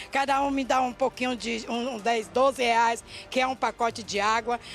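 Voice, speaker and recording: This woman has a high pitch and fairly even intonation. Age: 60s. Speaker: street water vendor. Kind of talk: complaint interview. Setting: outdoors at a market. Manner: halting.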